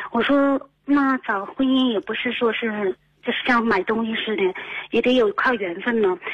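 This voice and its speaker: Noticeable background noise sits under a woman's voice. She has a fairly high pitch and lively intonation. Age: 30s. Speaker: radio call-in listener. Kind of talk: call-in advice conversation. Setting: phone call. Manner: fast, rapid-fire; halting, many fillers.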